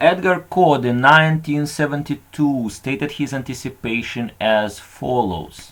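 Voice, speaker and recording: At a fairly slow pace, a man with a non-native accent speaks in a medium pitch. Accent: noticeable foreign. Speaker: conference presenter. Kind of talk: conference talk.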